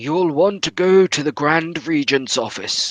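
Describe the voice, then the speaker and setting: Using a put-on character voice, a man speaks at a fairly high pitch with ordinary variation, the sound dry and close with no echo. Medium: actual play. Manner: hesitant, stammering.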